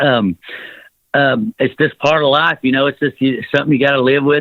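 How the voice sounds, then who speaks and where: This man speaks with a Southern US accent. His pitch is fairly high and his pace fairly quick. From US South. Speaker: rock singer. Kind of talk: interview. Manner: halting, filler-heavy.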